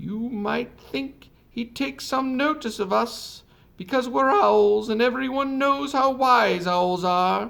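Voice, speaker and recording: Fairly slowly, a man does a put-on character voice. His pitch is extremely high. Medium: read story.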